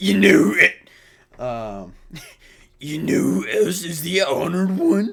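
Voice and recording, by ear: A man puts on a raspy character voice with a fairly high pitch and talks at a fairly slow pace.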